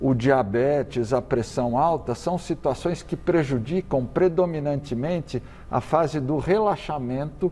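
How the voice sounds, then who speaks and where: A man's fairly high voice with lively intonation and a dark, mellow tone. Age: 60s. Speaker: cardiologist and medical professor. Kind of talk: TV interview. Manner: halting with repetitions.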